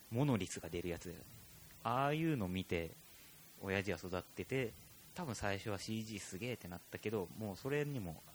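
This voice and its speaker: In a normal speaking voice, a man with a fairly low pitch talks at a moderate pace with lively intonation. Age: middle-aged. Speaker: podcast host, percussionist. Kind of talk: casual chat.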